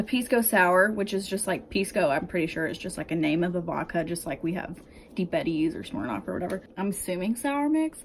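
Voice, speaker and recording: A woman's unremarkable speaking voice at medium pitch, with lively intonation and a fairly quick pace. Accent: American. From United States. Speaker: vlogger. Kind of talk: casual advice vlog. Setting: home, bedroom. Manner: casual, filler-heavy.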